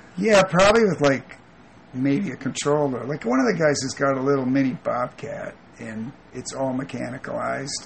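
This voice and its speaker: Amid noticeable background noise, a man speaks in a fairly high pitch with lively intonation. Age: 40s. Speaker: landscaper. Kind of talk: interview. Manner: halting.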